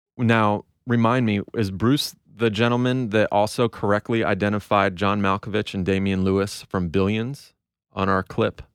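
A man speaks with a fairly low pitch and very even loudness. The sound is dry and close with no echo, over a quiet background. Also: fairly even intonation, moderate pace.

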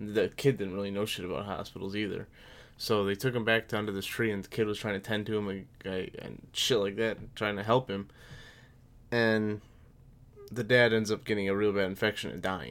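This man has an ordinary speaking voice with an American accent and a fairly low pitch. He talks at a fairly quick pace with fairly even intonation. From US Midwest, Aurora, Illinois. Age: 20s. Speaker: podcast co-host, soldier. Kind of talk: casual chat. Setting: same room as co-host.

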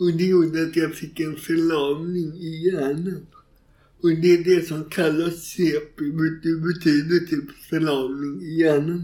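A man with a fairly high pitch speaks at a very slow pace. His tone is dark and mellow, and his intonation is monotone and flat. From Gothenburg, Sweden. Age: 40s. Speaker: author and stand-up comedian. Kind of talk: interview conversation.

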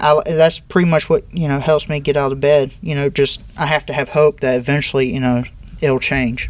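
A man with a fairly high, unremarkable speaking voice talks at a moderate pace with fairly even intonation. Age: 30s. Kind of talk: interview.

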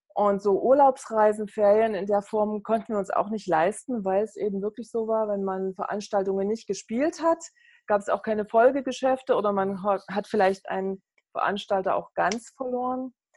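A woman with an ordinary speaking voice, fairly high in pitch, at a moderate pace with ordinary pitch variation. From East Germany (GDR), Saxony. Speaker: network marketing entrepreneur. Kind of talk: interview.

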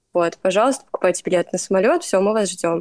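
A woman speaks in a plain, everyday voice. Her pitch varies in an ordinary way. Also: dry, close sound with no echo. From Russia. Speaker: student. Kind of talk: casual chat.

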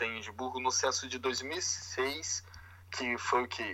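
A man speaks at a fairly slow pace. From Brazil, Vila Velha (Greater Vitória), Espírito Santo. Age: 20s. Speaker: podcast co-host, Brazilian expat. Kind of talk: casual chat.

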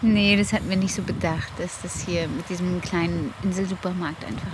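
A woman talks at a fairly low pitch and moderate pace, with ordinary pitch variation and hardly any pauses. Noticeable background noise and audible room echo are present. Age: 30s. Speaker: podcast co-host, mother of ten. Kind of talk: casual chat. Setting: on holiday on a Danish island.

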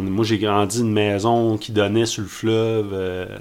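A man at fairly low pitch in a flat monotone, very slow pace, with audible room echo and noticeable background noise. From Trois-Pistoles, Bas-Saint-Laurent, Quebec. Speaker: environmental activist. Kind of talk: casual interview chat.

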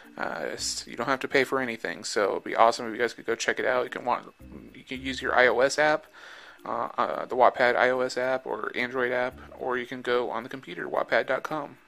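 With music in the background, a man speaks at a fairly quick pace, his loudness swinging widely. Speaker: author and podcast host. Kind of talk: reading aloud, original short story narration with a casual host intro and outro; dramatic narration, spooky Halloween tale read aloud with character voices. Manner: casual, chatty, friendly with filler words.

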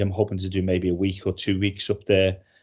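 At a moderate pace, a man talks with a Liverpool accent at a fairly low pitch. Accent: Scouse. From Liverpool, England. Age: 50s. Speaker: cybersecurity trainer and comedian. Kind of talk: casual interview chat.

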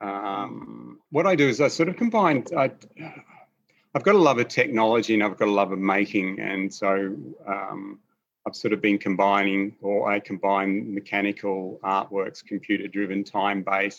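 A moderate pace with ordinary pitch variation. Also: man, fairly low pitch for a man. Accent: Australian. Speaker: installation artist. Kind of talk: artist talk over video call. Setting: video call, in his studio.

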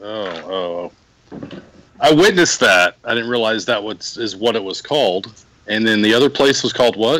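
With an American accent, a man speaks in a plain, everyday voice at a moderate pace and medium pitch. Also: ordinary pitch variation. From Dallas, Texas. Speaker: podcast guest. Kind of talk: casual chat.

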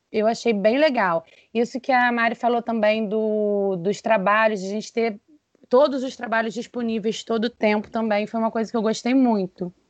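A woman with an unremarkable speaking voice talks at a moderate pace, her pitch fairly high and her intonation fairly even. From interior of Rio de Janeiro state, Brazil. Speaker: speech therapist. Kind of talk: casual chat.

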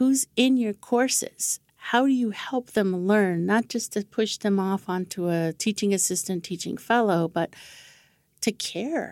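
A woman with an American accent and an ordinary speaking voice talks at a fairly slow pace, with medium pitch. Her pitch varies in an ordinary way, and the sound is dry and close with no echo. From Navajo Nation, US Southwest. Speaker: education consultant. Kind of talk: interview.

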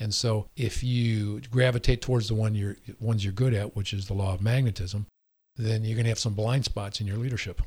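In a very clean recording with a silent background, a man with a fairly low pitch speaks at a fairly quick pace in a somewhat breathy, flat monotone. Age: 60s. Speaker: dentist. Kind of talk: interview. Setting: studio.

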